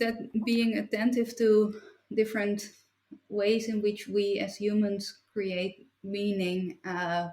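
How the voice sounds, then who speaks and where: The voice is somewhat breathy, with a Dutch accent. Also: woman. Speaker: philosopher and writer. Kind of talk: interview conversation. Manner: halting.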